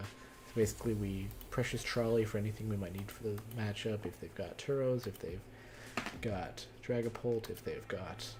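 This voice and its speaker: A man speaks in a fairly low voice with fairly even intonation. Noticeable background noise and audible room echo fill the recording. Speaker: card game streamer. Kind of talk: live stream commentary. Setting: live stream. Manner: fast.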